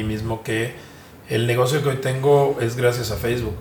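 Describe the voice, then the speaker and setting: Amid noticeable background noise and audible room echo, a man of medium pitch speaks at a moderate pace with fairly even intonation. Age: 50s. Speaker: journalist and digital media founder. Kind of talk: interview.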